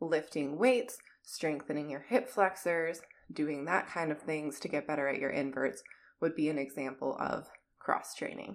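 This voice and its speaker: In an American accent, a woman speaks with a very deep, low pitch. Her intonation is lively and her pace moderate. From US Midwest, Minnesota. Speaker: performing artist coach. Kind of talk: solo podcast talk, educational. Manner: conversational, informal.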